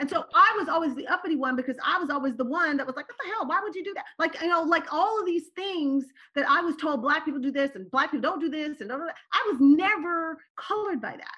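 Very fast and raised, the projected voice has a bright, sharp tone, lively intonation and big swings in loudness. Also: woman, extremely high pitch for a woman. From raised abroad as a diplomat's child, later California. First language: Turkish. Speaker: political candidate and navy veteran. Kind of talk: interview conversation.

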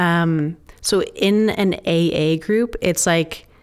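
A woman with a fairly low pitch and ordinary pitch variation has an unremarkable speaking voice. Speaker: recovering alcoholic, ministry staff. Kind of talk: testimony. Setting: studio.

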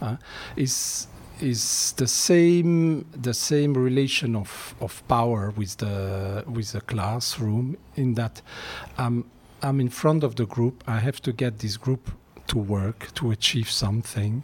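Very slowly, a man speaks in a somewhat breathy voice. His pitch is medium, with ordinary variation. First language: not English. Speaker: music teacher. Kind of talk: casual interview.

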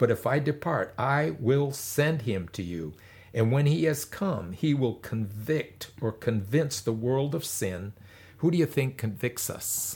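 On a very clean recording with a silent background, a man with a medium pitch and a somewhat breathy voice speaks at a fairly slow pace with lively intonation. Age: 70s. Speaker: pastor. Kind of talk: sermon.

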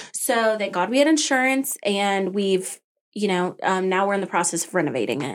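A woman's plain, everyday voice in an American accent, fairly quick and lively, on a very clean recording with a silent background. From Arizona (Tucson), then Colorado. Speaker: small business owner. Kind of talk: interview.

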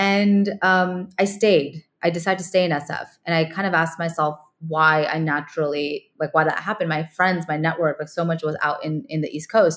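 A woman's plain, everyday voice, fairly low in pitch, with fairly even intonation at a moderate pace. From California. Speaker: ed tech founder and former teacher. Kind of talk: interview.

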